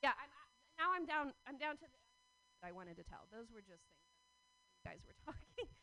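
Her voice raised and projected, a woman speaks at a fairly quick pace with a high pitch, very wide pitch swings, and big swings in loudness. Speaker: comedian. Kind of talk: stand-up. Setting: stage with audience. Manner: halting.

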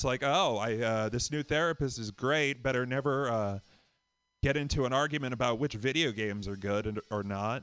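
Against a quiet background, a plain, everyday voice with an American accent moves at a fairly quick pace. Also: man, medium pitch for a man, ordinary pitch variation. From Boston. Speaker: comedian. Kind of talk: stand-up.

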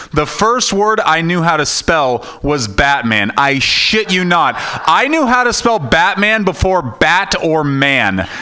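A man at a very slow pace and high pitch, with very wide pitch swings, very even loudness, hardly any pauses and noticeable background noise. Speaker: stand-up comedian. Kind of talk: stand-up. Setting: stage with audience.

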